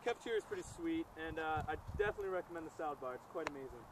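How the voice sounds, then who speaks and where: Talking very fast with ordinary pitch variation, a man is heard in a dry sound with no echo over noticeable background noise. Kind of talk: mock interview answer. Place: open country.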